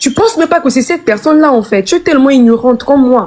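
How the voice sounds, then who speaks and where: Lively intonation carries this voice along at a fairly quick pace. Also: woman. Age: 20s. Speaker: live stream guest sharing personal story. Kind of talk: emotional testimony on a live stream. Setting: live stream. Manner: halting, repeating words.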